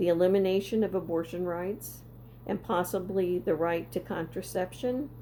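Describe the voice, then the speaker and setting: Speaking at a moderate pace, a woman has a dark, mellow tone with vocal fry. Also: ordinary pitch variation. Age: 70s. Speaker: political commentator vlogger. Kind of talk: monologue. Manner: halting.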